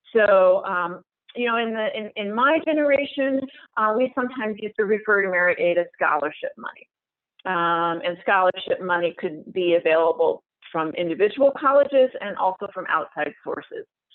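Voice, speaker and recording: At a moderate pace, a woman speaks at a medium pitch with lively intonation. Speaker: independent college financial aid consultant. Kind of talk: webinar presentation. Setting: online webinar. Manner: hesitant, many fillers.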